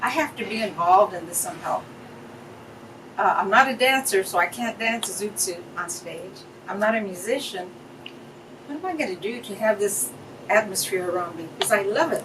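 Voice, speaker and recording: A woman at a fairly quick pace with long, frequent pauses, medium pitch, lively intonation and big swings in loudness, over noticeable background noise. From Fullerton, California. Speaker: business owner. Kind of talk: interview answer.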